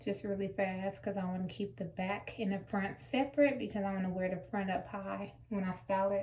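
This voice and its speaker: A woman's somewhat breathy voice sits at medium pitch and has a dark, mellow tone. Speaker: natural hair vlogger. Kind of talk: hair tutorial. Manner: casual, conversational with fillers.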